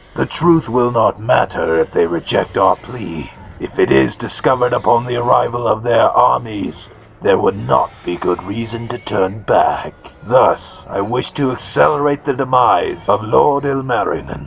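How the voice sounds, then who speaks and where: This man speaks in a put-on character voice at a medium pitch. His pace is moderate. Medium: machinima. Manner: terse, cold.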